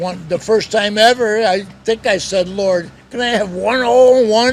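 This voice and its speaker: Over noticeable background noise, a man with an American accent speaks in a high pitch at a moderate pace, with ordinary pitch variation. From Upstate New York. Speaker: retired businessman and former teacher. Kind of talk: casual interview storytelling.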